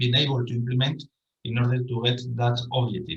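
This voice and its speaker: A man speaks with a Spanish accent at a moderate pace, his tone bright and sharp. Audible room echo surrounds his voice. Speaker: professor. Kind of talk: conference presentation. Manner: halting.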